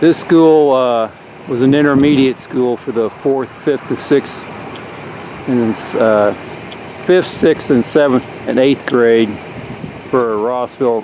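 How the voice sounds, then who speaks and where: Over noticeable background noise, a man with a medium pitch talks in a relaxed tone at a fairly slow pace with fairly even intonation. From US Midwest (rural Indiana). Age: 60s. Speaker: local history video maker. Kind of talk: casual narration while touring. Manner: relaxed, conversational with hesitations.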